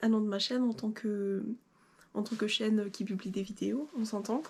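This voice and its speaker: At a fairly slow pace, a woman speaks in a fairly high, somewhat breathy voice with ordinary pitch variation. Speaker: sewing YouTuber. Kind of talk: casual vlog talk to camera. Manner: hesitant, many fillers.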